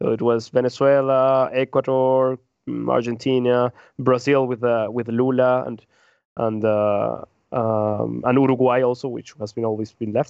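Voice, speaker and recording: The speaker has a Spanish accent and a moderate pace. The intonation stays flat and monotone. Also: man. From Peru. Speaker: podcast co-host. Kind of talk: casual discussion. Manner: halting, frequent repetitions.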